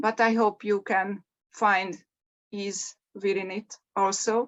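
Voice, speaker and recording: Talking at a very slow pace with a non-native accent, a woman holds a medium pitch and fairly even intonation. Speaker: mindfulness coach. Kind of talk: meditation introduction. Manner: hesitant, with fillers.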